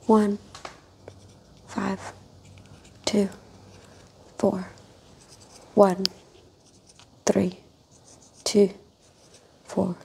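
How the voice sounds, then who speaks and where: Against light background noise, a woman speaks very slowly in a monotone, flat intonation, with long, frequent pauses. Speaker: guest patient in roleplay. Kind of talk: soft spoken role-play exam instructions. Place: home room. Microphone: lapel.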